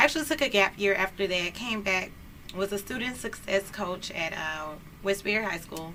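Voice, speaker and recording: A woman with an American accent speaks at a moderate pace and medium pitch in an animated tone with lively intonation, against noticeable background noise. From Houston, Texas. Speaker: community organizer and lawyer. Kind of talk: talk show interview.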